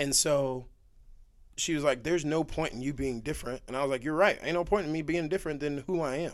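In a very clean recording with a silent background, a man with a fairly high voice talks at a very fast pace. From Texas. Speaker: guest. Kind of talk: casual chat.

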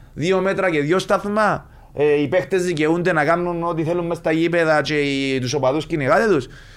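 A man with a Cypriot accent speaks at a high pitch with ordinary pitch variation. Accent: Cypriot Greek. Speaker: retired footballer. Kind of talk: casual interview.

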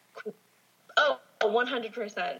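Noticeable background noise sits behind a woman's voice. She talks at a fairly quick pace in a fairly high pitch. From Southern California, Orange County. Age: 20s. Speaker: makeup artist sharing paranormal stories. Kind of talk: casual chat, storytelling.

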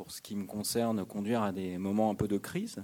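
This man's voice sits fairly low in pitch. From France, Ain near Lyon. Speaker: journalist and author. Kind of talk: public radio discussion. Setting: stage with audience. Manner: halting, many hesitations.

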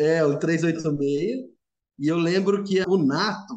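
A man is speaking. His voice sits at a high pitch. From São Paulo city. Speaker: agronomist, former student house resident. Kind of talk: casual chat, storytelling.

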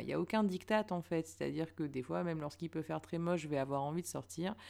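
Delivered at a fairly quick pace with ordinary pitch variation, the speech comes from a very clean recording with a silent background. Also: woman. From northern France, Lille. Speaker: podcaster. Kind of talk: solo monologue. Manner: hesitant.

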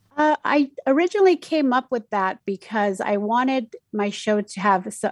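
A woman speaks against a quiet background. Her pitch varies in an ordinary way. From Mexico City, raised in Utah from age ten. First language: Spanish. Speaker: community radio DJ. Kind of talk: casual interview. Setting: video call.

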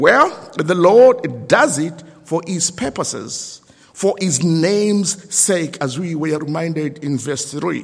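This man has a high pitch and lively intonation. He speaks at a very slow pace. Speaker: lay preacher. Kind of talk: sermon. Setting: church service with congregation.

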